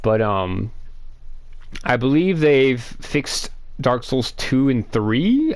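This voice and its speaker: Over music in the background, a man with a medium-pitched voice speaks very slowly with ordinary pitch variation. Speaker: gaming video creator. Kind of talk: gameplay commentary. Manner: loud; casual, filler-heavy.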